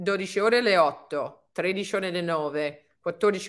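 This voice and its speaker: Someone speaks with an English accent and ordinary pitch variation. The background is quiet. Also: woman. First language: English (speaking Italian). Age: 50s. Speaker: fitness and anti-aging coach; anti-aging coach. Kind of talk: webinar talk. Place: home room. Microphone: webcam.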